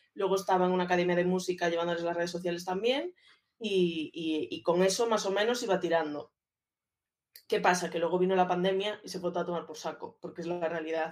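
Talking fairly quickly, a woman with a plain, everyday voice keeps a fairly low pitch and fairly even intonation. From Galicia, Spain (A Coruña). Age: 30s. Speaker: social media and communications manager. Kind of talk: casual interview chat.

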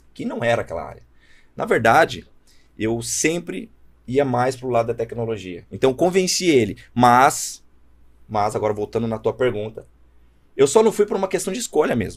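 A man speaks at a moderate pace and a medium pitch. His pitch swings very widely, and he takes long, frequent pauses. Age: 20s. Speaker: startup founder. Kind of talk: casual chat.

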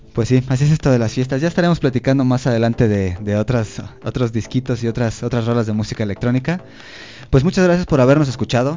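His pitch is medium. The man talks very fast. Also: ordinary pitch variation. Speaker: radio host. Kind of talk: casual chat. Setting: studio.

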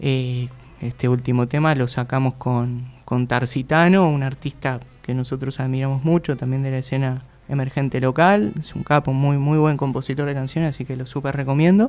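A man speaks at a moderate pace with a medium pitch and fairly even intonation. He has an ordinary speaking voice. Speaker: band singer. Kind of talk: casual interview.

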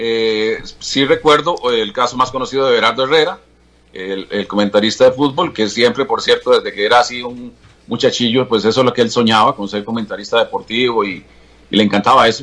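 A man has an unremarkable speaking voice at a medium pitch. He talks at a fairly quick pace with ordinary pitch variation. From Costa Rica, Alajuela province (Atenas, Santa Bárbara). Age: 60s. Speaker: veteran TV journalist. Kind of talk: interview about his life.

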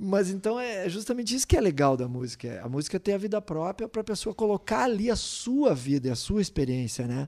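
A man with a high voice and a dark, mellow tone speaks at a fairly quick pace with very wide pitch swings. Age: middle-aged. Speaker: musician. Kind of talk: casual chat.

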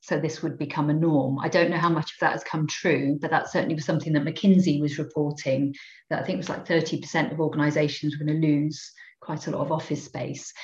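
In a Cardiff accent, a woman speaks with a very deep, low pitch. Her voice is somewhat breathy, and her pace is fairly quick. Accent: Welsh (Cardiff). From Wales, inner-city Cardiff. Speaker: psychologist and engagement manager. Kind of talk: casual interview.

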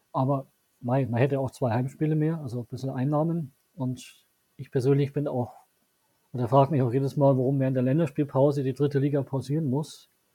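Speaking at a fairly quick pace, a man has a dark, mellow tone that is somewhat breathy. His medium-pitched voice stays monotone, with flat intonation. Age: 30s. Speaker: local newspaper journalist. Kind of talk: interview.

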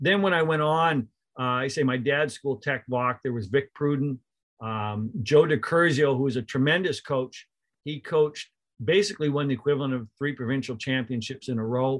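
A man with a Canadian Prairies accent at a fairly high pitch, moderate pace, and ordinary pitch variation. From Canada, rural Manitoba near Winnipeg. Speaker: college basketball coach. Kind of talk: casual interview.

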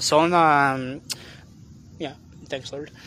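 The voice belongs to a man. His intonation is fairly even. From California (Long Beach). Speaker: lay preacher. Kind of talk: sermon. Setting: outdoors in a park. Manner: halting.

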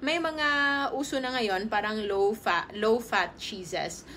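At a fairly slow pace, a woman speaks in an ordinary speaking voice with a fairly high pitch. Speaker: health and nutrition livestreamer. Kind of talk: casual livestream talk. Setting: home, live stream.

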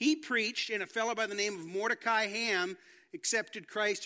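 A man projects a raised voice at a fairly quick pace. His pitch is high and his tone bright and sharp. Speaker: pastor. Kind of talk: sermon. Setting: church.

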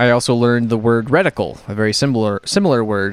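Over a very clean recording with a silent background, a man with an unremarkable speaking voice talks at a fairly quick pace with fairly even intonation. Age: 30s. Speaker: indie game developer and podcast co-host. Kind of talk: casual chat.

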